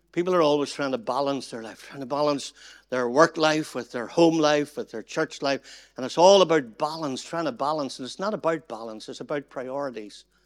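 In a very clean recording with a silent background, a man with a Northern Irish accent speaks at a moderate pace in a fairly high pitch with ordinary pitch variation. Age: 60s. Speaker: pastor. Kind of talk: seminar talk.

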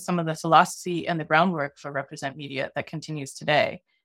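A woman speaks very fast in a fairly low voice, her intonation fairly even. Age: 40s. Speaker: documentary filmmaker and media nonprofit co-founder. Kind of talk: interview conversation. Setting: video call.

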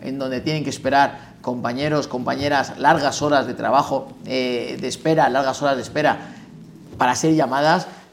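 A fairly high-pitched man in a flat monotone, fairly quick, against noticeable background noise. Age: 30s. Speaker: criminal lawyer and bar election candidate. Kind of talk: interview.

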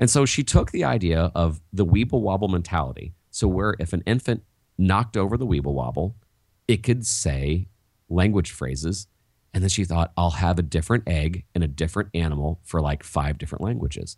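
Very deep and low, a man's voice carries vocal fry. He talks at a fairly quick pace with lively intonation. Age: 40s. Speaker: teacher and education author. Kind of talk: interview.

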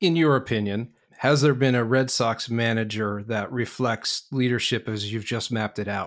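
A man with an American accent talks in a normal speaking voice at a medium pitch and moderate pace, keeping his intonation fairly even. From New York, US. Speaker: podcast host. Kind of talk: interview.

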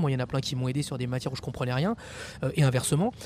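A man of medium pitch speaks with fairly even intonation. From Paris suburbs, France (Champigny-sur-Marne). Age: 40s. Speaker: politician. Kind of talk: interview. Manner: halting, frequent repetitions and fillers.

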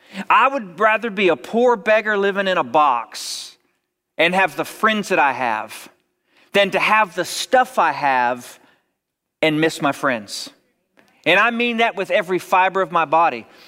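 A man's raised, projected voice, high in pitch and bright and sharp in tone, with very wide pitch swings and long, frequent pauses. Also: fairly slow pace. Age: 40s. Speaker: pastor. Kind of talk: sermon. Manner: repeats words, conversational.

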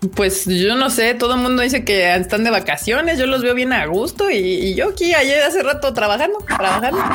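A woman with a Mexican accent, high-pitched, at a fairly quick pace with hardly any pauses, very wide pitch swings, very even loudness and noticeable background noise. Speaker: anime podcast host. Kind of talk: casual livestream chat. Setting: video call livestream.

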